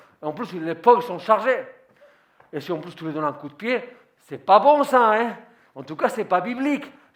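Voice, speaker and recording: Big swings in loudness, very wide pitch swings, long and frequent pauses, and a moderate pace. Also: man, high pitch for a man. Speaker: pastor. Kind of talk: sermon.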